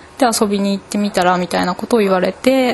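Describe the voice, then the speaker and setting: A fairly high female voice with ordinary pitch variation against noticeable background noise. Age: 20s. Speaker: architecture student. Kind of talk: interview.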